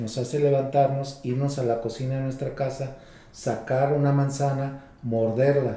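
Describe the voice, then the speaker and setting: A man with fairly even intonation and audible room echo. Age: 50s. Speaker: psychologist. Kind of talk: interview.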